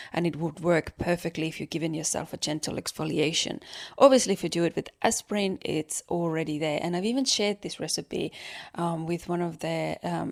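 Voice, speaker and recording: Speaking at a fairly quick pace in an Estonian accent, a woman with a fairly low voice uses ordinary pitch variation in a dry, close recording with no echo. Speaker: podcast host. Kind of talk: casual monologue, beauty tips.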